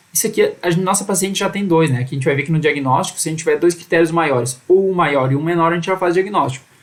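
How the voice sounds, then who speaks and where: A man with a high-pitched voice rushes along at a very fast pace with hardly any pauses and ordinary pitch variation. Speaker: medical educator. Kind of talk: live online lecture.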